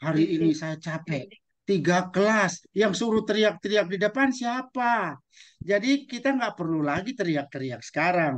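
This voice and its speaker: A man's high-pitched voice with lively intonation at a moderate pace, over a quiet background. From East Nusa Tenggara, Indonesia. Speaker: teacher trainer, webinar speaker. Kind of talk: online webinar presentation; lecture. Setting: video call. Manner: animated. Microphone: video call.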